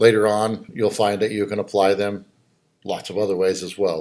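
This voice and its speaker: This man has a normal speaking voice with a fairly low pitch and a moderate pace. The recording is very clean, with a silent background. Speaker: college instructor. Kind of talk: lecture. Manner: casual, conversational.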